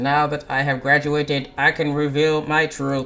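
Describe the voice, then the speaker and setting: A man speaks at a moderate pace in a put-on character voice, fairly high-pitched, with a monotone, flat intonation. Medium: game stream. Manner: stiff, formal.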